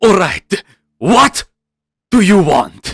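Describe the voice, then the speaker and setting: A man's put-on character voice at a high pitch, in a dry, close sound with no echo. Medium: actual play. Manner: curt, dismissive.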